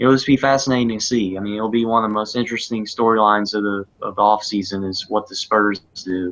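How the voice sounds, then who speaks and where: Delivered at a very fast pace, the speech has fairly even intonation and a Southern US accent. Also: man. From US South, South Carolina. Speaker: sports podcast co-host. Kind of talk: casual chat. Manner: halting.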